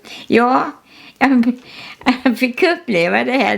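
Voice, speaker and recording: A woman talks at a very slow pace, with noticeable background noise behind her. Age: 80s+. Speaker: artist. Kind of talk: casual chat. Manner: halting.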